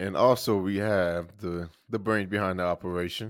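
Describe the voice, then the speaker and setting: A man speaks in a fairly low voice with a bright, sharp tone. His pace is moderate. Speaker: podcast host.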